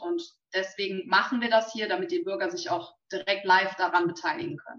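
Talking at a moderate pace and medium pitch, a woman uses a normal speaking voice. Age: young. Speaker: local politician, co-moderator. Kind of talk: live talk interview. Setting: live video stream.

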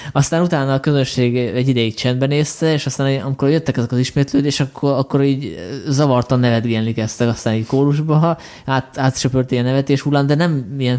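Delivered at a very fast pace, the voice has a dark, mellow tone, very even loudness and fairly even intonation. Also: man. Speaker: podcast host. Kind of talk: casual chat.

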